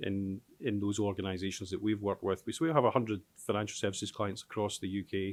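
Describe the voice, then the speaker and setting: This man speaks at a very fast pace. His pitch is fairly low. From Scotland, Glasgow. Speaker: tech company founder and chief executive. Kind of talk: panel discussion. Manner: hesitant, many fillers.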